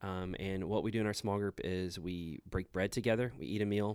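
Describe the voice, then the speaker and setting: A man's very deep, low voice with an American accent and ordinary pitch variation, on a very clean recording with a silent background. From Houston area, Texas. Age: 30s. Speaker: church planter. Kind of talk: casual chat.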